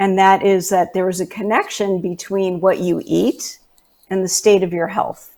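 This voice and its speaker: A woman at medium pitch speaks with a New York accent. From New York City (Manhattan). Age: 60s. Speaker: natural health specialist. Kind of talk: interview.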